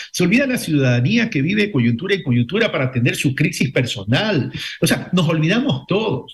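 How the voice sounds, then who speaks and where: The man talks at a fairly quick pace. His voice rises and falls over a very wide range. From Ecuador. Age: 60s. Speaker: former vice-presidential candidate. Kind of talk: radio interview.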